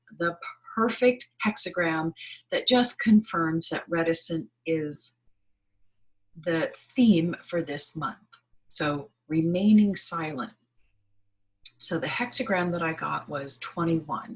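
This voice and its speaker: A somewhat breathy woman's voice, fairly low in pitch, at a very slow pace with lively intonation and long, frequent pauses. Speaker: spiritual channel host. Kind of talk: monthly energy reading talk. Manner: halting with fillers.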